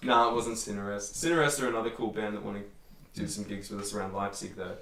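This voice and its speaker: A man with an Australian accent talks very fast in a fairly low pitch with ordinary pitch variation. Noticeable background noise and audible room echo are present. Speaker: metal band musician. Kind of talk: casual chat. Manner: animated.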